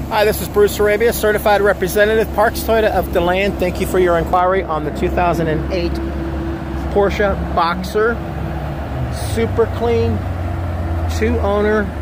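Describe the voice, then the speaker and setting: A man speaks at a moderate pace with long, frequent pauses, the sound dry with no echo and loud background noise behind him. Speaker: car salesman. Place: street. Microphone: phone near.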